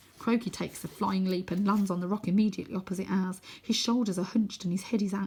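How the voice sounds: The voice is a natural reading voice. It carries the whole clip.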